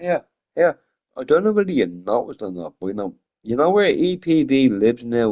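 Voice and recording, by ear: A man talks at a moderate pace with big pitch swings. His tone is slightly mellow.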